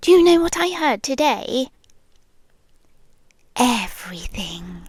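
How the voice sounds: Putting on a character voice, a woman speaks slowly at a fairly high pitch, her slightly mellow tone carrying a slightly husky edge as her pitch swings widely.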